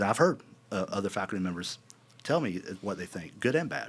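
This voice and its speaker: The speaker is a man. He talks with a South Carolina accent. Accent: South Carolina Southern US. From US South, South Carolina (West Columbia). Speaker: university board chairman. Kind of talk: interview conversation. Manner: halting, many fillers and repeats.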